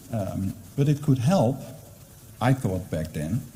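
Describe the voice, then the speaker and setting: Amid noticeable background noise and audible room echo, a man speaks at a moderate pace with very wide pitch swings. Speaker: university librarian. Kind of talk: conference presentation. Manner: hesitant, many fillers.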